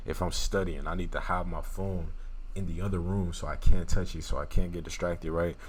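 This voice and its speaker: A man's very deep, low voice with a strong Louisiana accent, flat and monotone in intonation. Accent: thick Louisiana. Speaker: YouTuber reviewing a book. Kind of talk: casual book summary talk. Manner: casual, conversational.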